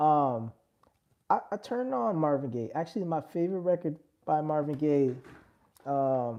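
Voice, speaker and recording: A moderate pace broken by long, frequent pauses, in a New York accent over a quiet background. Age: 30s. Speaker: music producer livestreamer. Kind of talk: casual livestream chat. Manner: animated; halting.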